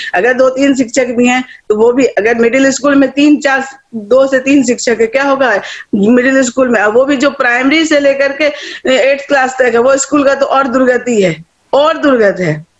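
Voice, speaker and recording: Her loudness very even, a woman speaks with an animated tone at a high pitch. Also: ordinary pitch variation, moderate pace. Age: 60s. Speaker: retired teacher and education activist. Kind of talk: online meeting remarks.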